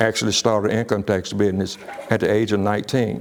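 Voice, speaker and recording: A man's fairly low voice with an Alabama accent and fairly even intonation. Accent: Southern US (Alabama). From US South, Birmingham, Alabama. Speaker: business coach. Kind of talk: casual personal story. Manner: halting, many fillers and repeats.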